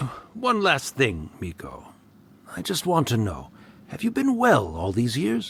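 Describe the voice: Putting on a character voice, a man speaks at medium pitch with very wide pitch swings, vocal fry and a slightly husky edge. His tone is fairly bright and his pace fairly slow.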